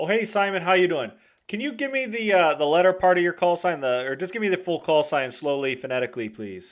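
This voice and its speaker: Using very wide pitch swings, a man with a high pitch talks at a very fast pace. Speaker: radio net control operator. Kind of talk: radio net check-in. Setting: two-way radio transmission.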